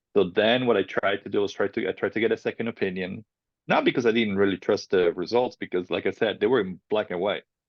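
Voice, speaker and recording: With a slight Italian accent, a man talks at a very fast pace, his fairly low voice held to a fairly even intonation. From Italy. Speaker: filmmaker, cancer survivor. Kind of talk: personal testimony interview. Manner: casual, halting.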